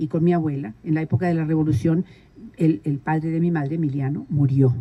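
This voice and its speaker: A woman's very deep, low voice, dark and mellow, somewhat breathy, with ordinary pitch variation. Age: 80s+. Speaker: community leader. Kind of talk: interview.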